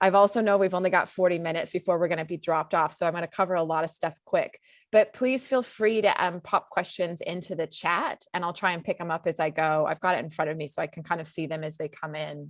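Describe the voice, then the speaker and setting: A woman talks at a very fast pace in a fairly low pitch, with hardly any pauses. The sound is dry and close, with no echo. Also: ordinary pitch variation. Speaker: kayaking safety instructor. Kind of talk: online presentation.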